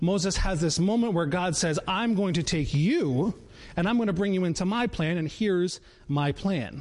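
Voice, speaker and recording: This man speaks with an American accent at a high pitch. His pace is moderate, his pitch variation ordinary and his loudness very even. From Connecticut (Danbury). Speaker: children's pastor. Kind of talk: sermon. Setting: church live-stream.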